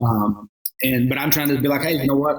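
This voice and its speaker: Speaking at a very fast pace, a man uses a medium pitch. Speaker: singer and reality show contestant. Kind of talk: casual interview chat. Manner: loud.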